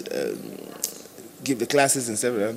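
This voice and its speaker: A man speaks fairly quickly as noticeable background noise runs behind his words. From Cameroon. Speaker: bass player. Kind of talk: interview. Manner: halting, many repetitions.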